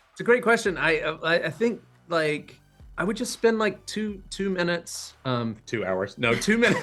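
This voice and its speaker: With music in the background, a man speaks at a high pitch with lively intonation. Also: moderate pace. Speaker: actor. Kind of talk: interview answer.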